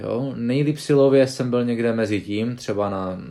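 Speaking at a very slow pace, a man with a dark, mellow tone is captured in a very clean recording against a silent background. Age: 20s. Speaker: professional arm wrestler. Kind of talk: casual interview.

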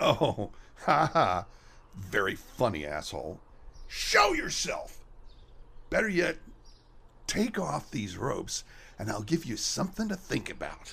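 A man speaks at a fairly slow pace. He leaves long, frequent pauses. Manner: defiant then panicked.

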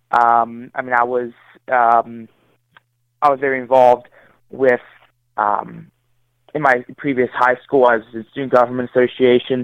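Long, frequent pauses break up a man's monotone, flat delivery, which has a medium pitch and a moderate pace. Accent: American. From Maryland, Carroll County. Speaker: political candidate. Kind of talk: interview. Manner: halting.

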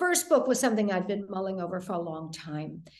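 Amid audible room echo, a woman with an American accent speaks at medium pitch with ordinary pitch variation. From US Midwest, Detroit. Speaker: thriller author. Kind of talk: interview.

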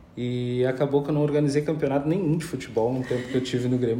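Monotone, flat intonation with audible room echo. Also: man. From Pelotas, southern Brazil. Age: 30s. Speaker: politician and anti-racism activist. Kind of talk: interview.

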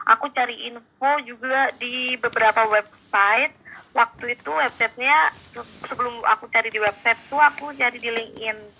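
With an ordinary speaking voice, a woman talks at a fairly quick pace, her fairly high pitch showing ordinary variation while her loudness swings widely. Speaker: exchange student and marketing intern. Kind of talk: casual interview.

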